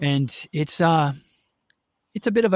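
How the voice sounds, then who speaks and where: With an American accent, a man talks at a moderate pace in a dry, close recording with no echo. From Milwaukee, Wisconsin, US Midwest. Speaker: actor and theater company founder. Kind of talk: casual interview. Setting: outdoors in backyard, remote call.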